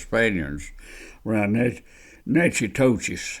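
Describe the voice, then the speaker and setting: This man speaks with an Alabama accent at a fairly low pitch and a fairly slow pace. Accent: Southern US (Alabama). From US South, Alabama near Birmingham. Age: 80s+. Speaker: oral history storyteller. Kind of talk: oral history interview. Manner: casual, halting.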